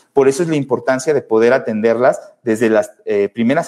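A man with a Mexican accent, a fairly quick pace and fairly even intonation. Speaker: pediatric neurologist hosting a podcast. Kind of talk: solo educational talk answering live comments. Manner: casual with fillers.

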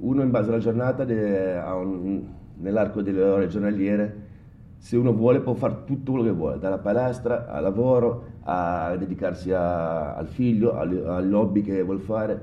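There is audible room echo as a man speaks. His pace is moderate and his pitch varies in an ordinary way. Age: 40s. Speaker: bartender. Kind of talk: casual interview.

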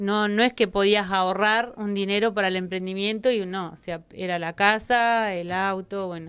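A woman's unremarkable speaking voice at medium pitch, moderate pace and fairly even intonation, with hardly any pauses, on a very clean recording with a silent background. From Argentina, Neuquén. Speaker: chamber of commerce president. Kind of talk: interview.

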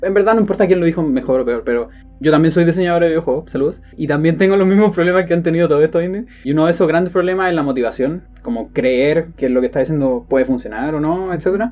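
The speech moves at a very fast pace with ordinary pitch variation. Music plays in the background. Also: man, high pitch for a man, hardly any pauses. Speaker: podcast co-host. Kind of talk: casual chat.

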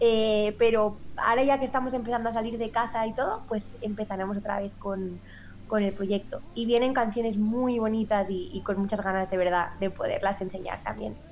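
Fairly high-pitched woman's voice with a Spanish accent, at a moderate pace with fairly even intonation. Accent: Peninsular Spanish. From Spain. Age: 30s. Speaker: singer-songwriter. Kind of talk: interview. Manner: halting.

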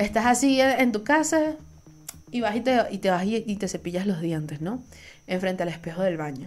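A woman talks at a medium pitch. Her pitch swings very widely. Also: moderate pace. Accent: Venezuelan. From Venezuela. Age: 20s. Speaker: podcast host. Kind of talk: solo casual monologue.

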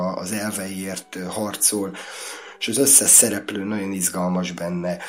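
Noticeable background noise runs through the clip. A man speaks in a fairly low pitch. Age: 50s. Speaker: casting director. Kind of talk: casual chat.

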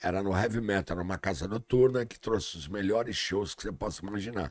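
Speaking at a fairly quick pace, a man uses ordinary pitch variation and a fairly low pitch. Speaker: comedian. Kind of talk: casual chat.

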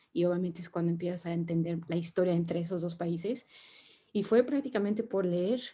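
A woman's dark, mellow tone, somewhat breathy and fairly low in pitch. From Mexico. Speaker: sustainability consultant. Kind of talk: interview conversation.

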